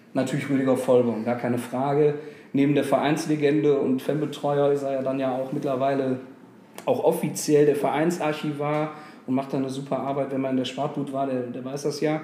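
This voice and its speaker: A man speaks at a fairly quick pace in a fairly high voice. His intonation is monotone and flat, with audible room echo. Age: 30s. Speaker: football fan club board member. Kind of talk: interview.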